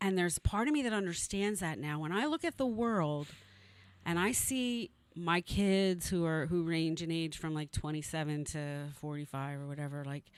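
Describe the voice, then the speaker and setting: Heard on a very clean recording with a silent background, a normal speaking voice moves at a moderate pace with lively intonation. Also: woman. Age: 60s. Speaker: news site publisher. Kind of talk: casual chat.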